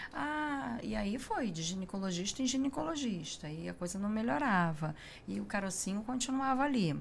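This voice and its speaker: Speaking at a moderate pace in a Rio de Janeiro accent, a woman uses lively intonation amid audible room echo. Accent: carioca. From Rio de Janeiro, Brazil. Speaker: breast cancer survivor, patient. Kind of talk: testimony in interview.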